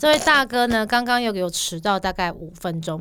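The recording is very clean with a silent background. In it, a woman's pitch varies in an ordinary way. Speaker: podcast co-host. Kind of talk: casual chat. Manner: fluent.

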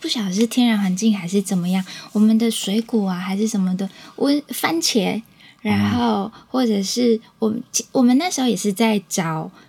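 At a moderate pace, a woman speaks in a dark, mellow, somewhat breathy tone with ordinary pitch variation. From Taiwan, Changhua (Huatan). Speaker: small business owner, beekeeping family. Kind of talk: interview.

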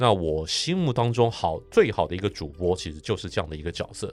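With lively intonation and a fairly quick pace, a man with a normal speaking voice is heard on a very clean recording with a silent background. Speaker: sports broadcaster. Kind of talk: casual interview.

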